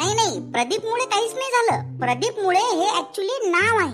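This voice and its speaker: A cartoonish character voice, squeaky and extremely high in pitch, moves at a moderate pace. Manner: earnest, increasingly frustrated.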